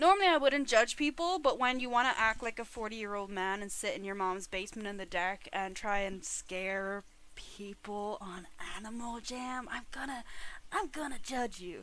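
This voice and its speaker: Bright and sharp in tone, a woman speaks at a fairly high pitch and moderate pace with lively intonation and big swings in loudness. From Ireland. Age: 20s. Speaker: streamer. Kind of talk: casual live-stream chat. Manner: animated.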